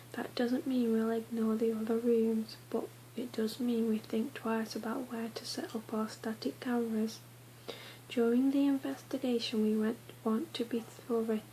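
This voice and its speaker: Soft-spoken and fairly high in pitch, a woman talks at a moderate pace with fairly even intonation amid noticeable background noise. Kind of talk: ASMR book reading.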